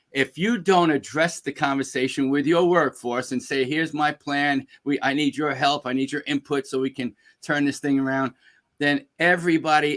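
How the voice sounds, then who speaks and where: With a New York accent, a man with a fairly high pitch speaks at a moderate pace with fairly even intonation, in a dry, close sound with no echo on a very clean recording with a silent background. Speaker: business speaker and executive coach. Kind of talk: interview.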